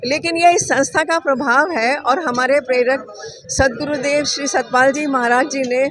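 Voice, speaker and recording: Over noticeable background noise, a woman speaks in a high pitch with ordinary pitch variation. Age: 70s. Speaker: volunteer at a charity blood donation camp. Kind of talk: interview.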